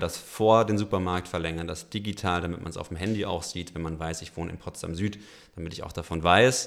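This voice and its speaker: On a very clean recording with a silent background, a man with a very deep, low voice talks fairly quickly with fairly even intonation. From Franconia, Germany. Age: 30s. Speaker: company founder. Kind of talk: interview.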